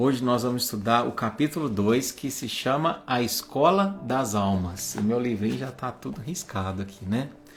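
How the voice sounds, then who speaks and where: With hardly any pauses, a man at medium pitch speaks over noticeable background noise. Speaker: spiritist study group leader. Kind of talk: religious study livestream. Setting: livestream. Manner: slow; warm, informal.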